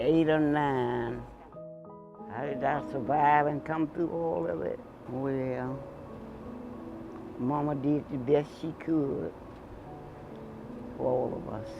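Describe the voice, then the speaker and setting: Over music in the background, a man with an American accent speaks at a very slow pace with long, frequent pauses, his fairly high pitch varying in an ordinary way. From Georgia, USA. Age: 80s+. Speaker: grandfather telling his life story. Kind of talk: interview answer, personal memoir.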